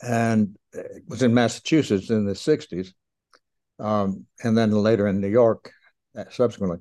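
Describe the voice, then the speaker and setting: This man has a dark, mellow tone and an American accent. His intonation stays fairly even. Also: medium pitch for a man, moderate pace. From US South, Kingsport, Tennessee (Appalachia). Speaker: retired sociologist and author. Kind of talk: interview. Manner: halting.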